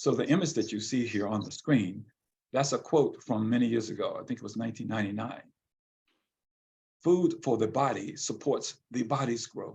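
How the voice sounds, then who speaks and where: Somewhat breathy male speech, medium in pitch, ordinary in pitch variation, moderate in pace. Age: 70s. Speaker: visual artist and poet. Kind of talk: interview. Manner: halting.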